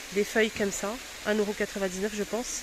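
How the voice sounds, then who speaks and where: A woman speaks at a moderate pace with a medium-pitched voice over noticeable background noise. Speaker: vlogger. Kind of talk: shopping vlog. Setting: in a store. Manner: hesitant, many fillers.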